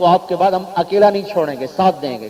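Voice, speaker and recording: A man speaks in a high pitch against noticeable background noise. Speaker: Islamic religious scholar. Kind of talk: religious sermon.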